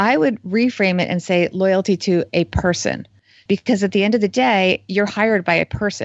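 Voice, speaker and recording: This woman has an American accent and a plain, everyday voice. She keeps a moderate pace at a medium pitch with fairly even intonation. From New Jersey. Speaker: financial journalist and author. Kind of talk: interview.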